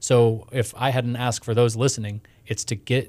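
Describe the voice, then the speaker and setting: A man with an American accent, a plain, everyday voice, medium pitch and a moderate pace. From Houston, Texas. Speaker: startup ecosystem director. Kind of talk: interview. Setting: studio.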